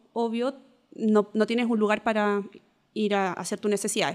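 A woman speaks in an unremarkable speaking voice at a moderate pace. Her pitch is fairly high and her intonation fairly even. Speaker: diversity and inclusion consultant. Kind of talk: casual chat.

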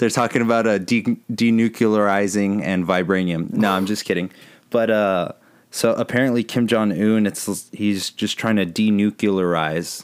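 A man with an American accent and a plain, everyday voice speaks at a moderate pace, his fairly low pitch held in a fairly even intonation. The loudness is very even, on a very clean recording with a silent background. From Texas, San Antonio. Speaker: podcast co-host. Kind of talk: casual chat.

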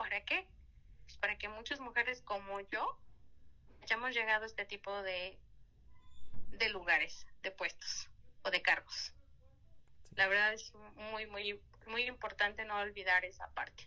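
Using a bright, sharp tone and fairly high pitch, a woman speaks at a fairly slow pace with fairly even intonation, big swings in loudness, and long, frequent pauses. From Mexico, Hidalgo. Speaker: judge. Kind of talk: interview.

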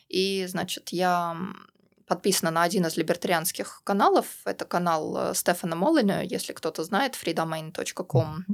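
This is a woman with an ordinary speaking voice, pitched fairly low and moving up and down in an ordinary way. She talks at a moderate pace in a very clean recording with a silent background. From Russia. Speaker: libertarian activist. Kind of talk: interview. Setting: studio.

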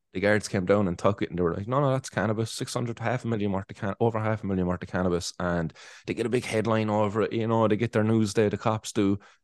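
A man's fairly low voice in a Cork accent at a very fast pace, dry and close with no echo over a quiet background. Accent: Cork Irish. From Ireland, Cork. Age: 30s. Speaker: cannabis activist and podcaster. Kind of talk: casual interview chat.

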